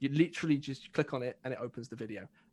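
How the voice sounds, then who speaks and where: Against a quiet background, a man with an English accent talks at a very fast pace, his fairly high voice showing ordinary pitch variation. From England. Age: young. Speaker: self-development community member. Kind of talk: casual chat. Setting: live stream.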